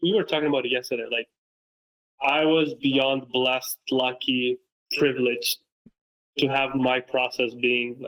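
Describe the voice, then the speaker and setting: The speech moves at a moderate pace with fairly even intonation, broken by long, frequent pauses. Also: man, medium pitch for a man. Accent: Romanian. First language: Romanian. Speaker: football content creator and coach. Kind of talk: casual interview chat.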